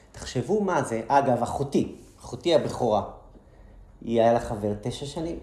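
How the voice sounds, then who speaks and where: A man with lively intonation, a fairly slow pace and long, frequent pauses, amid audible room echo. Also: medium pitch for a man. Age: 40s. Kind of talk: lecture.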